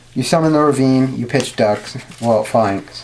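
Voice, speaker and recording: Noticeable background noise sits behind speech delivered very slowly. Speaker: card game YouTuber. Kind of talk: tutorial. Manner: casual, filler-heavy.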